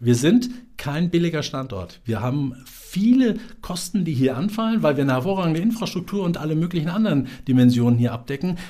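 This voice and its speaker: This man's voice sits fairly high in pitch and has a dark, mellow tone. His pitch swings very widely. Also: fairly quick pace. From Central Hesse, Germany (Marburg). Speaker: business development agency director. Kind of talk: interview. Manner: animated.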